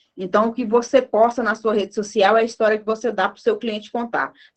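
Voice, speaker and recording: Talking at a fairly quick pace, a woman uses an ordinary speaking voice with a fairly high pitch and fairly even intonation. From northern Minas Gerais, Brazil. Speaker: marketing speaker. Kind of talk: talk at an online lecture event.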